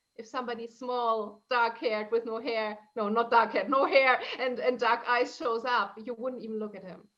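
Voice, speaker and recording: A woman with a fairly high voice speaks at a moderate pace with hardly any pauses, fairly even intonation and big swings in loudness. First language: German and Italian. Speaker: transformational coach. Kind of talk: interview conversation.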